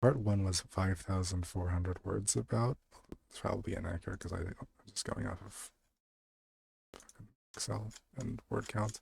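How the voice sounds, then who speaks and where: Long, frequent pauses break up a man's moderate-paced speech, his very deep, low voice marked by vocal fry. His pitch varies in an ordinary way, while his loudness swings widely. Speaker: streamer reading stories aloud. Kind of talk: casual chat. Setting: live stream.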